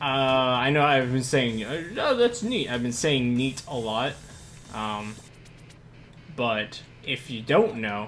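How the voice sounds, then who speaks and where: A very slow voice with long, frequent pauses and ordinary pitch variation, plus audible room echo and music in the background. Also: man, medium pitch for a man. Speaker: gaming streamer. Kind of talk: live gameplay commentary. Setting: live stream. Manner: halting.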